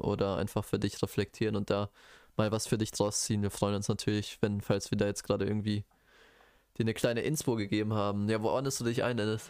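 On a very clean recording with a silent background, a man speaks fairly quickly at a fairly low pitch, his intonation monotone and flat and his loudness very even. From Bochum, Ruhr area, Germany. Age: 20s. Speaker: podcast co-host, biology student. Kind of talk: casual chat.

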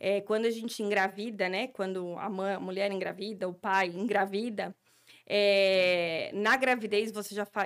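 At a fairly slow pace, a woman speaks in a monotone, flat intonation. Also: medium pitch for a woman. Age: 40s. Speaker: speech therapist. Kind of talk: interview.

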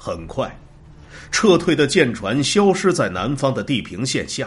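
Vocal fry at a very slow pace. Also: man. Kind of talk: scripted narration of war history, audiobook-style. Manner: steady, measured and formal, with a grave documentary gravity.

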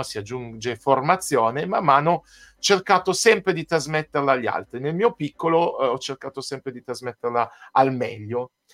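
A normal speaking voice with lively intonation moves at a moderate pace on a very clean recording with a silent background and a dry, close sound with no echo. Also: man. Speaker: pianist and composer. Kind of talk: casual interview chat.

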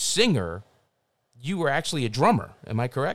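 A man speaks with a Philadelphia accent. His pitch swings very widely. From South Philadelphia, US. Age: 50s. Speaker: podcast host and filmmaker. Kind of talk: casual interview. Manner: halting, many fillers.

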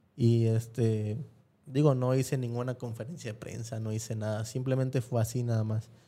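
A man speaks at medium pitch and a moderate pace, his tone dark and mellow and his intonation flat and monotone. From Mexico, Guerrero (Acapulco). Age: 30s. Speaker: former track athlete. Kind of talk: casual chat. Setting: studio.

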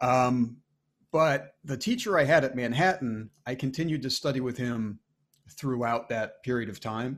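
An unremarkable speaking voice belongs to a man with an American accent, pitched in the medium range. He talks at a fairly slow pace with ordinary pitch variation. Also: very clean recording, silent background. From Maine, US. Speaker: army band trombonist. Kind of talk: interview conversation.

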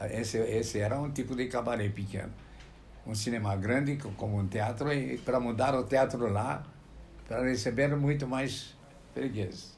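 In a room with audible echo, a man speaks somewhat breathily at a moderate pace, with ordinary pitch variation and long, frequent pauses. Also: medium pitch for a man. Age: 80s+. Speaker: medical publisher. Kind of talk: interview. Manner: halting.

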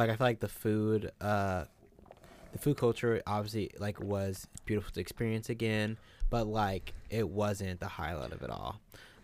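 In an unremarkable speaking voice, a man talks at a fairly low pitch with fairly even intonation and a moderate pace. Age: 20s. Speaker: podcast co-host, college student. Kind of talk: casual chat.

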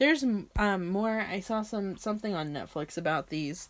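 A woman with an ordinary speaking voice talks at medium pitch and a moderate pace with lively intonation, recorded very cleanly against a silent background. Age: 20s. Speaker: podcast host. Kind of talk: casual solo podcast monologue.

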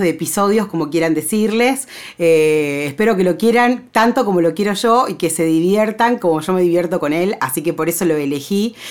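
Talking at a fairly quick pace, a woman lets her pitch swing very widely. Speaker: podcast host. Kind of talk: casual monologue. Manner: chatty, filler-heavy.

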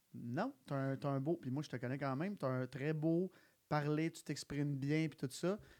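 The pace is moderate. The recording is very clean with a silent background. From Quebec (Sainte-Martine). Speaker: podcast host. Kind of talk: casual chat. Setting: live recording.

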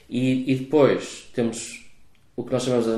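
A man with a European Portuguese accent and a dark, mellow tone, moderate pace and ordinary pitch variation, with audible room echo. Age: 40s. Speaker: venture capital investor. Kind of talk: interview. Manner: hesitant, many fillers.

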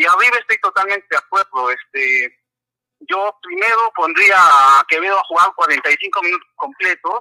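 A man's raised, projected voice, high-pitched and bright and sharp in tone, with lively intonation at a moderate pace, in a dry, close sound with no echo. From Peru, Arequipa. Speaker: caller, football fan. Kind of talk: call-in opinion.

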